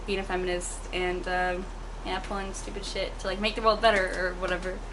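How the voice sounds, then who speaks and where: Over noticeable background noise and audible room echo, a woman talks at a fairly quick pace in a medium pitch. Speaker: artist. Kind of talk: casual chat. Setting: at home. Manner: fast; animated.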